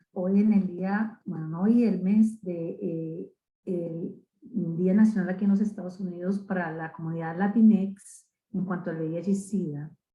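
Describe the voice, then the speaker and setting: A woman's medium-pitched, somewhat breathy voice with a dark, mellow tone, fairly even intonation and a moderate pace. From Colombia. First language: Spanish. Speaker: HIV advocate, long-term survivor. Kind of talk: webinar presentation. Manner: halting.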